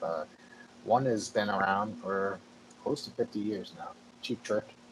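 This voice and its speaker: Speaking fairly slowly, the man is heard over clear background noise. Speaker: podcast host. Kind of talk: casual podcast interview talk.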